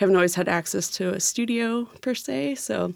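An ordinary speaking voice, a woman with an American accent, medium in pitch, moderate in pace, with lively intonation. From California. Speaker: sculptor. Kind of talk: interview. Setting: studio.

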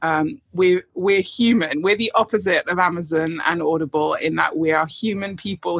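A woman in a British accent at a moderate pace, with ordinary pitch variation and a dry, close sound with no echo. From United Kingdom. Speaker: guest book recommender. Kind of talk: casual chat.

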